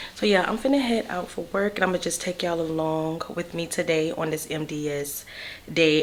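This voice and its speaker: Noticeable background noise sits behind a woman with a very deep, low pitch. Her intonation stays fairly even. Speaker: nurse vlogger. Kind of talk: casual vlog.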